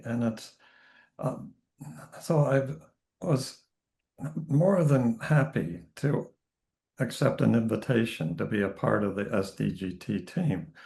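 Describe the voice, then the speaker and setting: A man's dark, mellow voice with vocal fry and very wide pitch swings. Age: 70s. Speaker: spiritual teacher and minister. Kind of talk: online information session introduction.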